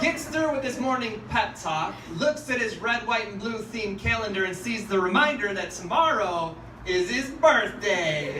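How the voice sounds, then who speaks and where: A man's raised, projected voice, high for a man, with lively intonation, a fairly slow pace, hardly any pauses and noticeable background noise. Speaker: spoken word poet. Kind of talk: spoken word poetry performance. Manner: sarcastic, mocking, comedic.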